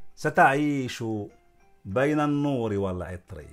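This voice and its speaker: A man speaks with very wide pitch swings as faint music plays in the background. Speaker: academic, doctor of law and literature. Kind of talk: poetry reading. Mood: calm, expressive. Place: garden. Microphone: phone near.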